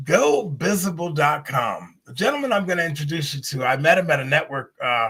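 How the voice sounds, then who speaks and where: With an ordinary speaking voice, a man talks at a fairly high pitch and a fairly quick pace, using lively intonation, big swings in loudness and hardly any pauses. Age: 60s. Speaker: talk show host. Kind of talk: live stream talk show. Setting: live stream.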